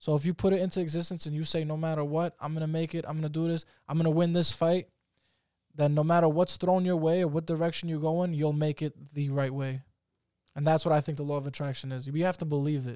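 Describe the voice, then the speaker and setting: A man speaks very fast in a fairly high, monotone voice with a dark, mellow tone and a New York accent. The recording is very clean, with a silent background. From Staten Island, New York. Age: 20s. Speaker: professional MMA fighter. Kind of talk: casual interview chat.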